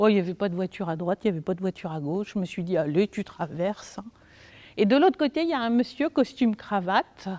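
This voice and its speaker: Animated and fairly quick, a woman at a medium pitch speaks with lively intonation on a very clean recording with a silent background and a dry, close sound with no echo. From France. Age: 50s. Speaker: early childhood educator and trainer. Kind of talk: talk to a parents' audience. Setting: hall with live audience. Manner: animated, conversational.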